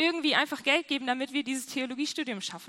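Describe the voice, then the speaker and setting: A woman speaks in a raised, projected voice with a high pitch and a bright, sharp tone. Her tone is animated, with ordinary pitch variation. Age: 20s. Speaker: youth pastor. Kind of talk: sermon.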